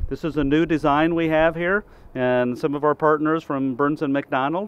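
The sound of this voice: A man's fairly high-pitched voice at a moderate pace, with fairly even intonation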